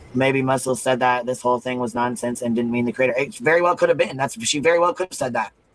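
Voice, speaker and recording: With music in the background, a man speaks at a very fast pace with hardly any pauses, in an animated tone of medium pitch and ordinary pitch variation. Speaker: live stream host. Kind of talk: heated discussion.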